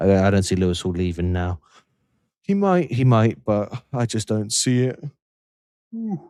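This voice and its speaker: Pausing long and often, a man with a fairly low pitch and a dark, mellow tone speaks with lively intonation. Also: fairly slow pace. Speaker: football livestream host. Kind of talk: casual live stream chat. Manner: low energy. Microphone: mic very close to mouth.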